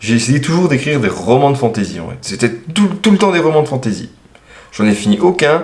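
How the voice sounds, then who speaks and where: This man's intonation is lively. He holds a medium pitch. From eastern France, Franche-Comté. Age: 20s. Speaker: self-published author and machinist. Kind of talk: interview answering read-out questions. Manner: casual, hesitant with fillers.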